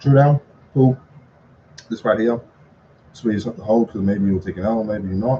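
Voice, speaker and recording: Speaking at a fairly quick pace, a man uses a fairly low, somewhat breathy voice with a dark, mellow tone and ordinary pitch variation. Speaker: trading content creator. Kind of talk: live trading recap tutorial. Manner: fast; casual, halting with fillers.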